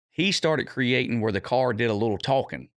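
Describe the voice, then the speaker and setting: The voice carries an American accent in a very clean recording with a silent background. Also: man. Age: 50s. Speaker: drag racer. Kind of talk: podcast interview.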